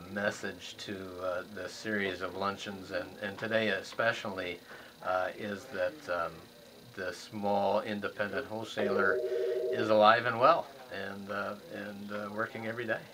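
With loud background noise behind him, a man talks at a fairly slow pace with long, frequent pauses. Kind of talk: interview answer. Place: office. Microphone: camera far.

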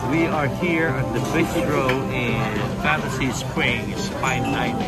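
Loud music plays in the background. Over it, a man speaks at a very slow pace. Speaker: vlogger. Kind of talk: casual vlog chat. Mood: cheerful, playful. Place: cafe. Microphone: lapel.

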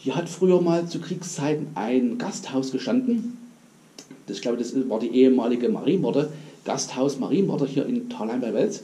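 A man's voice with very wide pitch swings at a moderate pace. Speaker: urbex video creator. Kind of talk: casual vlog chat. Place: tunnel cave. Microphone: camera far.

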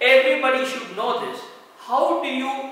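A man speaks at a moderate pace in a raised, projected voice with an extremely high pitch, and the room echoes strongly. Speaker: doctor giving a lecture. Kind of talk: lecture. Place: hall. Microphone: camera far.

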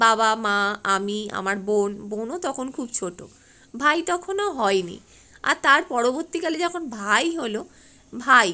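Her tone is bright and sharp, and her pitch is high. The woman's pitch swings very widely. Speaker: vlogger. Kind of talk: casual vlog narration.

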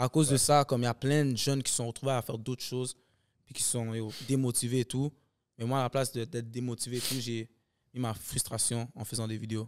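A man's monotone, flat delivery at a fairly quick pace. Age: 20s. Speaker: comedian and sketch video maker; podcast guest, actor, comedian. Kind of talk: casual chat. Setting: studio. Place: studio. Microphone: studio mic.

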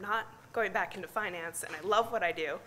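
The speech runs at a fairly quick pace with ordinary pitch variation over light background noise. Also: woman. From US Midwest, near Chicago. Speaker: climate scientist; conference presenter. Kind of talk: conference talk. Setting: stage with audience. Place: hall. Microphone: podium.

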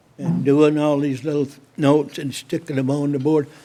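The speaker is a man with a fairly high pitch. His tone is dark and mellow. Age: 80s+. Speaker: city council member. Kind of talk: council meeting discussion. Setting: city council meeting. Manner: halting.

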